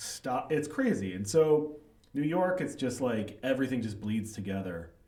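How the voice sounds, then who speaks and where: With an American accent, the speaker has a dark, mellow tone and lively intonation. The pace is moderate, and room echo is audible. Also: man, medium pitch for a man. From US Midwest, Chicago suburbs. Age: 40s. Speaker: writer and author. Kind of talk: casual interview chat. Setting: livestreamed podcast.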